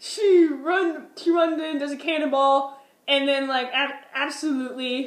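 A high-pitched woman's voice with audible room echo. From Minnesota. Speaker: vlogger. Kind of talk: casual storytelling vlog. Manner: animated.

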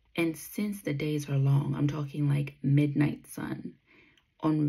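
Against a quiet background, a woman with a very deep, low pitch speaks at a fairly slow pace. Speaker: runner vlogger. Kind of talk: casual vlog chat. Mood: reflective, candid. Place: home room. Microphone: phone near.

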